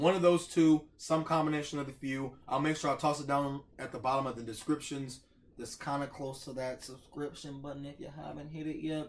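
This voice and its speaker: Talking at a fairly quick pace with hardly any pauses, a man with an American accent has a fairly high pitch, monotone, flat intonation and big swings in loudness. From Ohio, US. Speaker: mukbang youtuber. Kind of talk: casual vlog outro. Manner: fast. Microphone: no microphone, far from camera.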